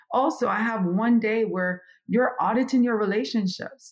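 Moderate pace and ordinary pitch variation in a woman's fairly high-pitched voice. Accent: Jamaican. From Jamaica, Kingston. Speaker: business consultant. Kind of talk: interview, life story and advice.

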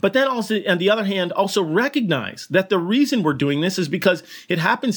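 A man with an American accent speaks at a fairly quick pace, with hardly any pauses. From US Northeast (Burlington, Connecticut). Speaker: veterinary surgeon. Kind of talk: casual interview chat.

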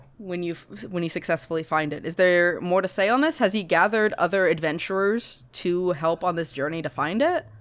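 Here a woman speaks with a fairly low pitch. Her pace is fairly quick, and her pitch variation is ordinary. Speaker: podcast co-host. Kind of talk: casual comedic chat, improv banter. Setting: video call. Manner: animated, jokey.

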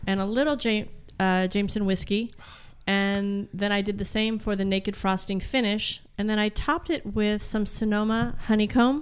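Using an ordinary speaking voice, a woman with an American accent talks at a moderate pace with ordinary pitch variation and very even loudness on a very clean recording with a silent background. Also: medium pitch for a woman. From Colorado. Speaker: PR executive and home baker. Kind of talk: casual chat.

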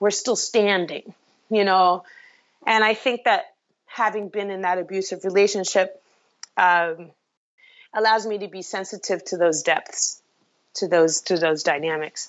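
A woman with an American accent speaks at a fairly slow pace and medium pitch, with fairly even intonation and long, frequent pauses. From US, Brooklyn, New York. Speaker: singer-songwriter. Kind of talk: interview conversation.

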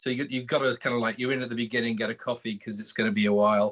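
A man speaks with a British accent. He talks very fast. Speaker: magazine co-founder and panelist. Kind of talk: panel discussion. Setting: remote connection, internet trouble.

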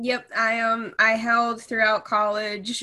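A woman with a bright, sharp tone. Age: 20s. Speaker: recent college graduate. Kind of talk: casual interview.

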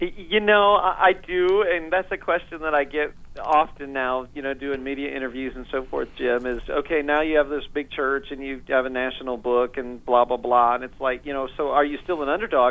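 A man talks with hardly any pauses. His voice is fairly high, with ordinary pitch variation. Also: moderate pace. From US Midwest, northeast Indiana. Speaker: pastor and author. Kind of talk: radio interview.

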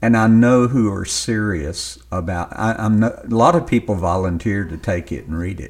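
A man with a Southern US accent, fairly low in pitch, with lively intonation, a moderate pace and hardly any pauses, on a very clean recording with a silent background. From US South, western Louisiana. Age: 60s. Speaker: novelist. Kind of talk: interview.

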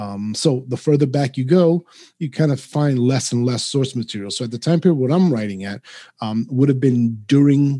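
The tone is dark and mellow. The pace is moderate. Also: man. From New York City. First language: Spanish. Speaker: author. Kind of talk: casual interview.

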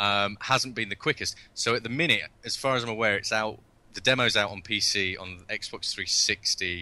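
With a British accent, a man speaks in a bright, sharp, fairly low voice at a moderate pace, with ordinary pitch variation and big swings in loudness against a quiet background. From UK. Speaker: video game director. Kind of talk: interview.

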